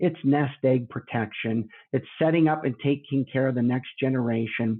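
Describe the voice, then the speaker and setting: An unremarkable speaking voice from a man, medium in pitch with ordinary pitch variation. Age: 50s. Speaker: long-term care insurance consultant. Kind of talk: podcast interview.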